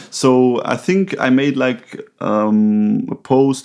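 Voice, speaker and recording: A man speaks with a non-native accent. The background is quiet. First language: not English. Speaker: podcast co-host, recovery counselor. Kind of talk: casual conversation. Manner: halting, with many fillers.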